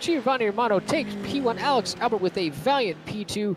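Moderate pace against noticeable background noise. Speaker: sim racing commentator. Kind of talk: live commentary. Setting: live stream booth. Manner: animated; loud.

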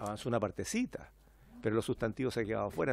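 With a medium pitch and some vocal fry, a man speaks very fast in a dry sound with no echo. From Chile. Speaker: member of parliament. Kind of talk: parliamentary debate. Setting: parliamentary committee room. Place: meeting room. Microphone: podium.

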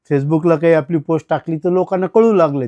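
A man speaks with a high pitch. The sound is dry and close with no echo. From Maharashtra, Latur district (Banjara tanda). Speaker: retired college administrator and radio collector. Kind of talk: interview. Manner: halting.

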